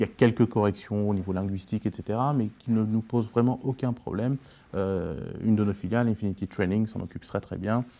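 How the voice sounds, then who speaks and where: Talking at a fairly quick pace, a man uses a fairly low pitch, a dark, mellow tone and fairly even intonation. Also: quiet background. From France. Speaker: entrepreneur. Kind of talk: interview.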